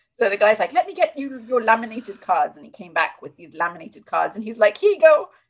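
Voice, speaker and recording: Talking at a very fast pace with a British accent, a woman with a fairly high pitch shows very wide pitch swings and big swings in loudness. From Britain. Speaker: sex and relationship coach. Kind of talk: casual chat. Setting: video call. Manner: witty.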